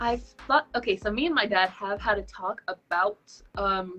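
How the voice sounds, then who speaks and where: A woman in a normal speaking voice, medium in pitch, at a moderate pace with ordinary pitch variation. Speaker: illustrator and singer. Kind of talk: interview.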